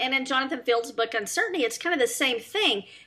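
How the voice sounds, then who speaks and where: Her voice raised and projected, a woman races along at a very fast pace with very wide pitch swings. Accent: Southern US. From US South. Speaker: talk show host. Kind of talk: interview.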